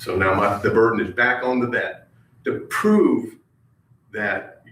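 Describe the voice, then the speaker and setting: A man talks fairly slowly, and the room's echo is audible. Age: 60s. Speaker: retired army veteran, public commenter. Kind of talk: public comment at county meeting. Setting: county government meeting room. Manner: halting, many fillers.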